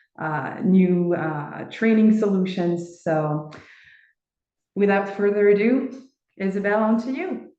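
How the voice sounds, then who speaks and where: Speaking very slowly, a woman with a medium-pitched voice and a dark, mellow tone is heard in a room with audible echo. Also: ordinary pitch variation. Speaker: training company assistant manager. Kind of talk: webinar presentation. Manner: halting, many fillers.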